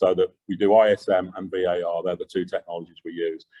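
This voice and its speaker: The speaker is a man with a Yorkshire accent. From Yorkshire, England. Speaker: engineering company executive. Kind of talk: Q&A answers; lecture. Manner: loud.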